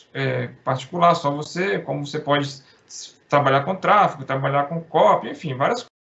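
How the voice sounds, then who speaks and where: Loudness swings widely as the speech keeps a moderate pace and ordinary pitch variation. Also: man, fairly high pitch for a man. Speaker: accountant presenting to copywriter colleagues. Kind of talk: informal presentation. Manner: halting, many false starts.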